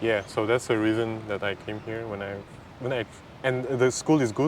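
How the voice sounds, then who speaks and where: A man talks at a moderate pace with a medium pitch. His intonation is fairly even, and noticeable background noise can be heard. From Kazakhstan. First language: Kazakh and Mandarin Chinese. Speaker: immigrant interviewee. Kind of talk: casual interview. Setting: outdoors in a park. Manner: halting.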